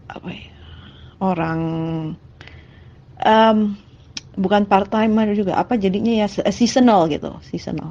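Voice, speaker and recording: A woman speaks in a dark, mellow tone. Long, frequent pauses break up her speech. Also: medium pitch for a woman, fairly even intonation, fairly slow pace. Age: 40s. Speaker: hospital worker. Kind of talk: testimony. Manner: halting.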